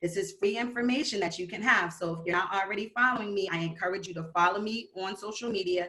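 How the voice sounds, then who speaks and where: A woman with a medium pitch and ordinary pitch variation talks at a very fast pace, with hardly any pauses. Noticeable background noise sits behind her. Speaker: credit educator. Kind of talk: presentation.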